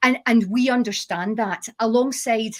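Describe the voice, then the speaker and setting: A woman talks at a moderate pace in a Scottish accent. Her intonation is fairly even. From Scotland, Glasgow. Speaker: chemist and company founder. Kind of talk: panel discussion.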